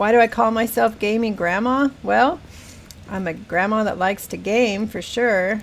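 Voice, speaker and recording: A woman with an American accent and a plain, everyday voice speaks at a moderate pace, with a fairly high pitch and ordinary pitch variation. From Northern California, Humboldt County. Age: 60s. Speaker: gaming streamer. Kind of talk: casual live-stream chat.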